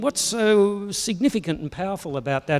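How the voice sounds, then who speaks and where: Intonation is lively as a man talks. His pace is fairly slow. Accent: Australian. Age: 60s. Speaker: pastor. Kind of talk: sermon.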